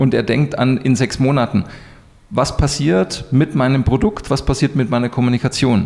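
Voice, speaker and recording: A man talks in a normal speaking voice at a fairly quick pace. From Munich, Bavaria. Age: 40s. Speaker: business coach. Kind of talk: interview. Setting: in person, Munich.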